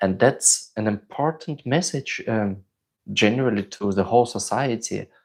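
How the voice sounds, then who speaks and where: On a very clean recording with a silent background, a man with a non-native accent speaks at a moderate pace and medium pitch, with ordinary pitch variation. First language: not English. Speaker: crossdressing vlogger. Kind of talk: live stream chat. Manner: hesitant, many fillers.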